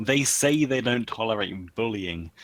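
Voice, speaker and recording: Delivered in a British accent, the speech has a moderate pace and ordinary pitch variation. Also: man. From England. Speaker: streamer's voice chat guest. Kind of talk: casual chat. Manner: halting.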